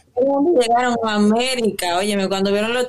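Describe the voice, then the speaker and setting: This is a plain, everyday voice. It moves at a fairly quick pace with ordinary pitch variation. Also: woman. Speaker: podcast co-host. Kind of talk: casual chat.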